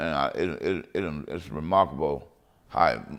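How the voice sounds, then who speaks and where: A man speaks at a very slow pace. His voice has vocal fry. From Texas, Waco. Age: 60s. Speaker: local resident interviewee. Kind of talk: interview reminiscence. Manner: casual conversational.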